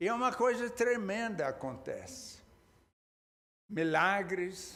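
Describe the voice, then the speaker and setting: A man's intonation is lively while he talks very slowly. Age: 80s+. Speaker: pastor. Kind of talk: sermon. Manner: halting, with repeated words.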